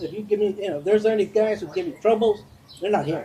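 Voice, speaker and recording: Noticeable background noise runs under a high-pitched man talking fairly quickly. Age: 70s. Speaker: motorcycle club vice president. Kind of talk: interview. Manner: halting.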